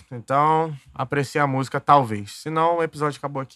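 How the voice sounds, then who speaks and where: The man's pitch is fairly high and his tone bright and sharp. He keeps a moderate pace, with a dry, close sound and no echo. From Duque de Caxias, Rio de Janeiro, Brazil. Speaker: podcast host. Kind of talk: casual monologue storytelling. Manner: animated.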